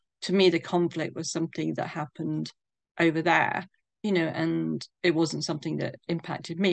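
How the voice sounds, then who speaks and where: A woman talking at a fairly quick pace in a southern English accent against a quiet background. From England, London. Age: 60s. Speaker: bereaved daughter sharing her story. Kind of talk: interview testimony.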